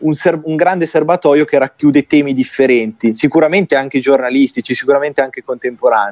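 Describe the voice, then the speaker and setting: This man talks very fast with hardly any pauses, his fairly high voice moving in ordinary pitch variation. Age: 20s. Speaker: journalist and writer. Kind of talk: interview. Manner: halting.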